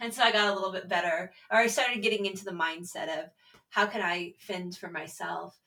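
A woman with an American accent talks fairly quickly at medium pitch with ordinary pitch variation in a plain, everyday voice. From Texas. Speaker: podcast co-host. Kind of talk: casual chat.

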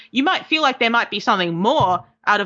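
Speaking at a fairly quick pace is a woman. She talks with an Australian accent. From Australia, Melbourne. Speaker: game developer. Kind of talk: interview. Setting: call.

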